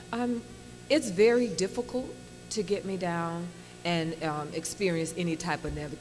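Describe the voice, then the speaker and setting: With music in the background, a woman with a slight Indiana accent talks at a fairly low pitch with lively intonation. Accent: slight Gary, Indiana. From Gary, Indiana, US Midwest. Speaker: actress. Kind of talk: interview.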